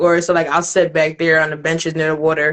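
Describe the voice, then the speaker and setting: A woman's fairly low voice with a slight New Jersey accent. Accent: slight New Jersey twang. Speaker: spoken word poet. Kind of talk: casual interview chat. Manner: casual, many fillers.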